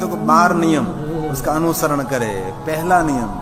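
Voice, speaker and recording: A man talks with a Gujarati accent at a fairly high pitch. Music plays in the background, and room echo is audible. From Gujarat, India. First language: Gujarati (speaking Hindi). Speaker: religious storyteller. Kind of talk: religious discourse.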